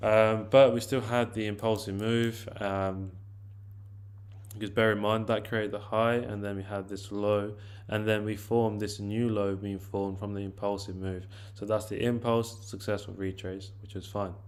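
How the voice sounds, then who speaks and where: A man with a fairly low pitch speaks at a moderate pace in a monotone, flat way. Audible room echo surrounds him. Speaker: forex trading educator. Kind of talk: tutorial.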